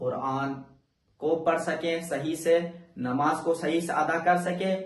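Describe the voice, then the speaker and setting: The speaker is a man. His pitch is high. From Pakistan. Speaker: Quran teacher and Islamic scholar. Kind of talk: religious lesson to camera.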